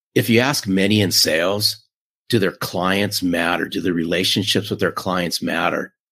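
The recording is very clean, with a silent background. A man talks at a moderate pace with ordinary pitch variation. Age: 50s. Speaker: sales author and podcaster. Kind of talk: interview. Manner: animated.

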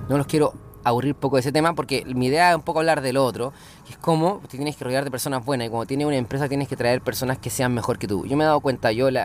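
In a Chilean accent, a man talks at a very fast pace, with medium pitch and fairly even intonation. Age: 30s. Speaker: podcaster and small business owner. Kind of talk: casual monologue. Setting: in a car.

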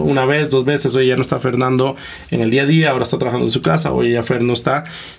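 Medium-pitched male speech, ordinary pitch variation, noticeable background noise behind it. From Costa Rica. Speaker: entrepreneur, investment fund co-founder. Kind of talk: interview.

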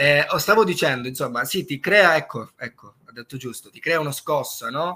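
The tone is bright and sharp, with big swings in loudness. Pitch varies in an ordinary way at a moderate pace. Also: man. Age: young. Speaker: singer-songwriter. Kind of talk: interview. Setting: live stream.

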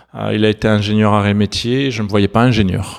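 Noticeable background noise runs under a man with a fairly low pitch. He talks at a fairly quick pace with fairly even intonation. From southern France. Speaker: startup founder. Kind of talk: interview. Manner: halting, many fillers.

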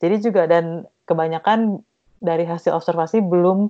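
In an ordinary speaking voice, the delivery moves at a moderate pace with fairly even intonation. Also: woman. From East Java, Indonesia. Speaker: textile design researcher. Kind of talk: interview.

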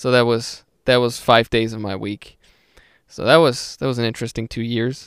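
A man with a German accent speaks at a moderate pace and medium pitch with monotone, flat intonation, in a dry, close sound with no echo on a very clean recording with a silent background. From Austria, small town. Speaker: podcast host and music producer. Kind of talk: casual chat.

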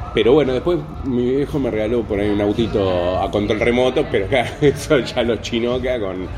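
At a moderate pace, a man with a medium pitch and ordinary pitch variation speaks amid audible room echo and noticeable background noise. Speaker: podcast host. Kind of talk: casual chat.

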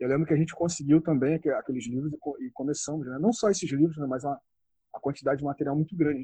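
The recording places this man close and dry, without any echo. He talks very rapidly. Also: fairly high pitch for a man, ordinary pitch variation. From Rio de Janeiro state, Brazil (Região dos Lagos). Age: 40s. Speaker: martial arts researcher and judo instructor. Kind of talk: interview. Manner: halting, with frequent repetitions and fillers.

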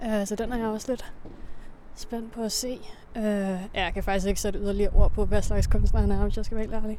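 A woman's fairly high, monotone, flat voice at a fairly quick pace, with audible room echo. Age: 20s. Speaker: podcast host. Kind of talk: casual chat.

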